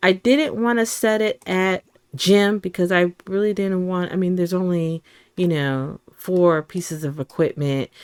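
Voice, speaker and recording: In a very clean recording with a silent background and a dry, close sound with no echo, a woman with a fairly low pitch speaks at a fairly slow pace in an animated tone with ordinary pitch variation. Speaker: gaming youtuber. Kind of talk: casual gameplay commentary. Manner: loud.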